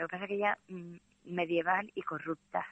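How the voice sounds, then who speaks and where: The speaker moves along at a fairly quick pace. Intonation remains fairly even. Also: woman. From Andalusia. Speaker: literature teacher. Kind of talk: casual interview about a novel.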